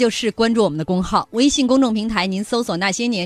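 This is reading aloud in a natural voice, with ordinary pitch variation.

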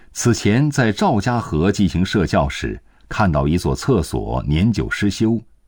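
A man speaks at a very slow pace in a very deep, low voice with vocal fry. His tone is solemn and dramatic, with very wide pitch swings. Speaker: narrator. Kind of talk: history documentary narration. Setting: studio. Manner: measured, solemn, steady pace; formal, dramatic storytelling tone.

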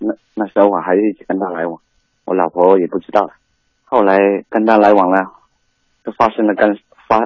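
A man's pitch sits fairly low, and his speech moves at a fairly quick pace. The intonation stays monotone and flat. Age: 30s. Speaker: caller, divorced migrant worker father. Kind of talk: phone-in talk. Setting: phone call.

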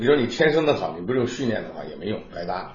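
Somewhat breathy, a man speaks at a fairly quick pace with very wide pitch swings. Room echo is audible. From Jiangsu, Nanjing. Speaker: opera tenor. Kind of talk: interview. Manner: halting.

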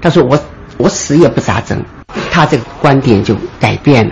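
Noticeable background noise is present. A male speaker's pitch varies in an ordinary way. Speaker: retired obstetrician, former colleague. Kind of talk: interview recollection. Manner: animated.

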